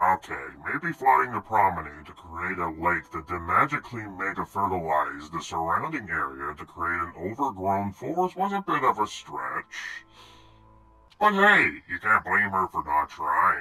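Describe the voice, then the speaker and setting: In a put-on character voice, a man talks at a moderate pace with a very deep, low pitch. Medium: machinima. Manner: sardonic, theatrical.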